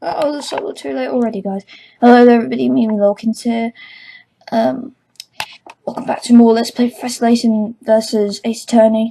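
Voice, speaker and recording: A woman with a British accent, at a fairly quick pace, with long, frequent pauses. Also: fairly high pitch for a woman, ordinary pitch variation. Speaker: let's play gamer. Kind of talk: casual game commentary. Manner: animated.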